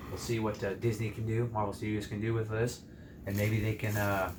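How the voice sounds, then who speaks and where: A man speaks at a moderate pace in a fairly low pitch, with audible room echo. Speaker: movie reviewer. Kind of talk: casual chat.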